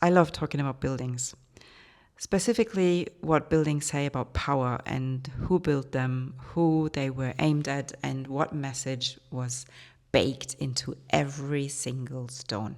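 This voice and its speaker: With a German accent, a woman speaks in a very deep, low pitch. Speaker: art historian and podcast host. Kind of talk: educational podcast monologue.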